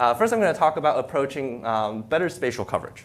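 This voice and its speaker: This man's pitch sits fairly high. It swings very widely as he talks. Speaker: PhD researcher giving job talk. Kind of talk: academic talk. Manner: fast.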